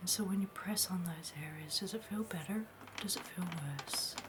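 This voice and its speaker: Soft-spoken and with a soothing tone, a woman talks at a fairly low pitch over music in the background. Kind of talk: ASMR roleplay, soft-spoken apothecary shopkeeper. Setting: close-mic ASMR recording. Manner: soft-spoken, soothing, slow.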